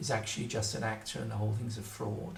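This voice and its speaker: A man with a fairly low pitch speaks at a fairly quick pace amid noticeable background noise and audible room echo. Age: 70s. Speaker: writer on magic. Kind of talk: solo video talk. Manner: hesitant, with fillers.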